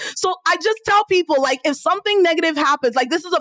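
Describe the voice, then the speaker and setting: An animated woman with a slight Nigerian accent, in a dry, close sound with no echo. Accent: Nigerian, slight, comes out on some words. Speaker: entrepreneur and business coach. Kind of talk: podcast interview.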